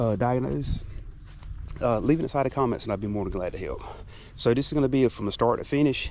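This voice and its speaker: A man speaks at a very fast pace and a medium pitch, with ordinary pitch variation. Long, frequent pauses break it up, and the room echo is audible. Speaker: DIY car mechanic YouTuber. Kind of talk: tutorial. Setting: under a car in a garage. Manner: casual, halting with fillers.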